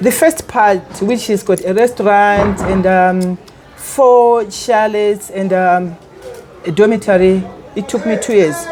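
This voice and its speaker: The woman's voice sits at a medium pitch with ordinary pitch variation, delivered at a fairly slow pace. Noticeable background noise runs under the recording. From Malawi, Karonga. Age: 70s. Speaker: lodge owner. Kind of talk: interview. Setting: on location at a lodge.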